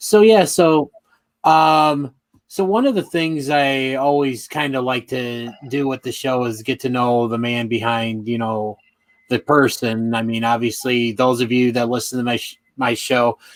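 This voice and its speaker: A man talks at a fairly slow pace and medium pitch with ordinary pitch variation. His is an ordinary speaking voice. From Chicago area, Illinois. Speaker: podcast host. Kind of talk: interview podcast.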